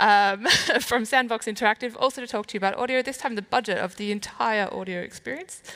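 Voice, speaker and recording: A very fast woman's voice, fairly high in pitch, with ordinary pitch variation and big swings in loudness. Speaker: event moderator. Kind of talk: speaker introduction.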